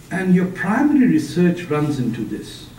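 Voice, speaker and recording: A man's fairly slow delivery with very wide pitch swings and audible room echo. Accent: Punjabi. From Pakistan. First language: Punjabi. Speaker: author and public speaker. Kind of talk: lecture. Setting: seminar room with audience.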